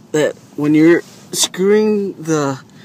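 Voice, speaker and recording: A high-pitched man talks with fairly even intonation amid noticeable background noise. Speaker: DIY car repair video maker. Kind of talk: tutorial. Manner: halting, repeats words; casual.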